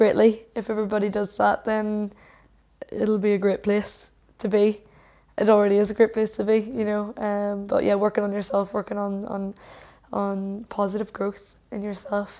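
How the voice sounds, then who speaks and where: A woman speaks in a Northern Irish accent with a dark, mellow tone. Her intonation is monotone and flat, broken by long, frequent pauses. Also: medium pitch for a woman, moderate pace. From Northern Ireland (Lisburn, Fermanagh). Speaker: musician. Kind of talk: casual interview chat. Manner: hesitant, many fillers.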